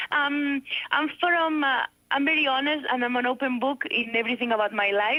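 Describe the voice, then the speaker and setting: With a Spanish accent, a high-voiced woman speaks fairly quickly, her loudness very even throughout. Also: ordinary pitch variation. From Spain, Barcelona. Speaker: fitness coach. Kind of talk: radio interview. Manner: halting.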